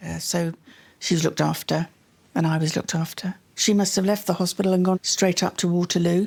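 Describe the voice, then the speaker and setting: At a fairly quick pace, a woman talks with a fairly low pitch and monotone, flat intonation in a very clean recording with a silent background. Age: 70s. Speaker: adoptee searching for birth family. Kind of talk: emotional conversation.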